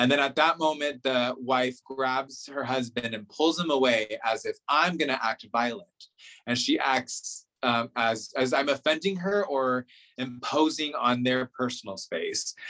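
At a fairly slow pace, a man speaks with an American accent at medium pitch and ordinary pitch variation. His tone is bright and sharp. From California, Central Valley. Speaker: television reporter. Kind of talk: interview conversation. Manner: hesitant, many fillers.

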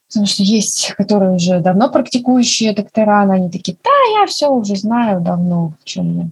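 This woman's voice sits at a medium pitch and is somewhat breathy. She keeps a moderate pace with hardly any pauses and ordinary pitch variation. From Russia, Makhachkala (Dagestan). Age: 20s. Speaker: nurse and medical student. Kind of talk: casual chat.

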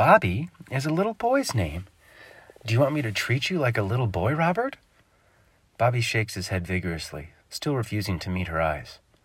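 A man speaks at a fairly quick pace in a somewhat breathy voice of medium pitch, swinging very widely in pitch. Long, frequent pauses break up his speech. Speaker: author and narrator. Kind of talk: horror story narration, read aloud. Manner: shifts into mock-anchor and irritated voices for characters.

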